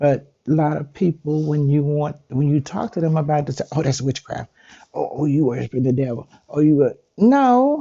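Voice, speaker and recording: In a relaxed tone, a woman talks at a moderate pace. Her very deep, low pitch shows ordinary variation. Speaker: spiritual content creator. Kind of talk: casual talk to viewers. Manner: relaxed, conversational.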